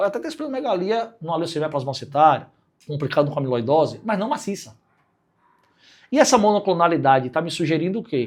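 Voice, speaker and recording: A man speaks very fast with a high pitch. His pitch swings very widely in a very clean recording with a silent background. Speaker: physician teaching clinical reasoning. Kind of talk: lecture.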